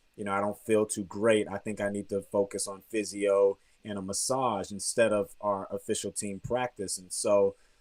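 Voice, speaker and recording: With an American accent, a man speaks in a monotone, flat intonation at a fairly low pitch. His pace is moderate, and the recording is very clean with a silent background. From Texas, grew up partly in Germany. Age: 30s. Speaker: professional basketball player. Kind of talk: interview.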